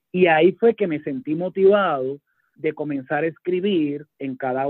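An ordinary speaking voice with ordinary pitch variation at a moderate pace. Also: man. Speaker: judge and author. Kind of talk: radio interview.

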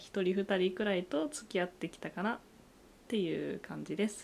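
A woman speaks at a medium pitch. Hers is an ordinary speaking voice. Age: 20s. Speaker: podcast co-host, university student. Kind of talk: casual chat.

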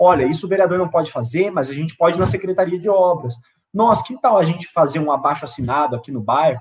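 A man with a high-pitched voice speaks very fast, his intonation lively. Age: 20s. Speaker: city council candidate. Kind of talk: political interview.

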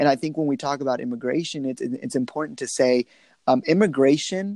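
A man with a Texan accent speaks in a fairly high, dark, mellow voice with lively intonation. The sound is dry and close with no echo, over a quiet background. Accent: Texan American English. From Texas, Lubbock. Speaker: political activist. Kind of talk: interview.

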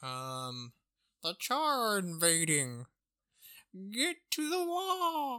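In a put-on character voice, the speaker goes at a very slow pace with a fairly high pitch and very wide pitch swings, on a very clean recording with a silent background. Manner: urgent, heroic.

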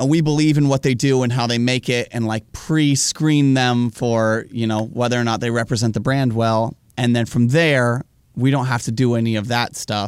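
In a very clean recording with a silent background, a man with a normal speaking voice talks at a moderate pace and a medium pitch. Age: 20s. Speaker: travel filmmaker. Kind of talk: casual chat.

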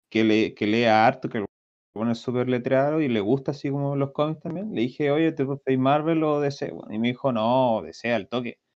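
Moderate-paced speech in a Chilean accent with ordinary pitch variation. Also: man, medium pitch for a man. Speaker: podcast co-host. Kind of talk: casual chat.

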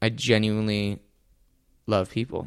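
The intonation is monotone and flat. Delivery comes at a fairly slow pace. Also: man. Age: 20s. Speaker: singer and reality TV performer. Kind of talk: casual chat.

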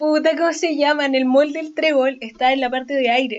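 Speaking with a Chilean accent, a woman uses a high pitch and fairly even intonation. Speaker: podcast co-host. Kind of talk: casual chat.

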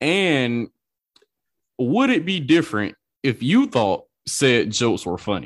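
Speaking at a very slow pace, a man leaves long, frequent pauses, his voice showing vocal fry and very wide pitch swings. The background is quiet. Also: medium pitch for a man. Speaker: podcast host and producer. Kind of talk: casual podcast hosting. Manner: relaxed, upbeat.

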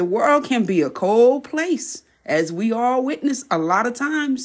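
Her pitch swinging very widely, a woman speaks at a fairly slow pace in a very clean recording with a silent background. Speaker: podcast host. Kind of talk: pep talk. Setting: solo podcast monologue, voice message style. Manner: animated, fired-up, preacher-like motivational cadence; warm, direct, urging the listener.

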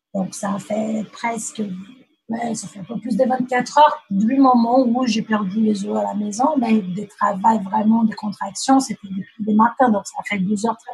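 A woman's somewhat breathy voice moves fairly slowly, its intonation fairly even. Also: big swings in loudness. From Brazil. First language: Portuguese (speaking French). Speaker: mother sharing birth story. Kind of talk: testimony. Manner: halting.

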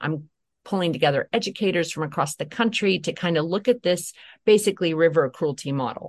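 A very fast woman's voice, fairly low in pitch, against a quiet background. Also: ordinary pitch variation. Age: 40s. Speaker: trauma and poverty educator. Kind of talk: interview. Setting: studio. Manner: animated.

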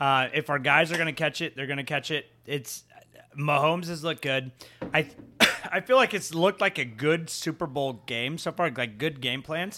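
With an American accent, a man speaks at a moderate pace in a fairly high, bright and sharp voice with ordinary pitch variation. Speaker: guest. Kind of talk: casual chat.

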